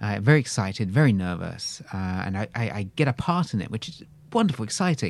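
On a very clean recording with a silent background, a man with a British accent talks at a moderate pace with lively intonation. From England. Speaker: actor. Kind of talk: casual interview storytelling.

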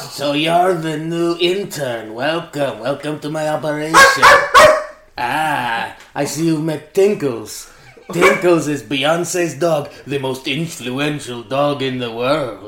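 A man puts on a character voice at a fairly high pitch. He goes at a fairly slow pace, with a slight echo around him. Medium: stage play.

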